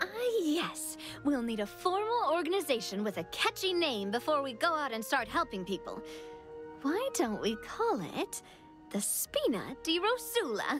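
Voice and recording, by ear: A woman's put-on character voice, high-pitched and fairly bright, with big pitch swings, a fairly slow pace and faint music in the background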